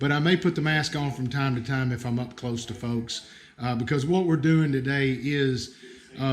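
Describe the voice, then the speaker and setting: With an American accent, a man talks at a moderate pace with fairly even intonation. Audible room echo and noticeable background noise accompany his voice. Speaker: bird bander, conservation staff. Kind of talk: livestream field tutorial. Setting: outdoor livestream, nature reserve. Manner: casual, hesitant with fillers.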